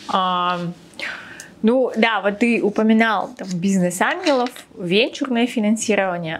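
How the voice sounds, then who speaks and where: Speaking at a very slow pace with long, frequent pauses, a woman uses a fairly high pitch and ordinary pitch variation over light background noise. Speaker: podcast host on personal finance. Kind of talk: podcast interview. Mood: friendly, animated. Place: studio. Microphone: lapel.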